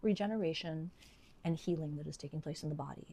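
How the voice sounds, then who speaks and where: With ordinary pitch variation, a woman speaks at a fairly low pitch in a normal speaking voice. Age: 60s. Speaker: registered nurse and health educator. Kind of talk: educational talk to camera.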